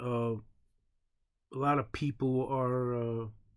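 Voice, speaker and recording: A man with a New York accent speaks at a medium pitch with fairly even intonation. The recording is very clean, with a silent background. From New York City, Brooklyn. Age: 40s. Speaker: online show host. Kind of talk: casual opinion monologue. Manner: halting, many fillers and repeats.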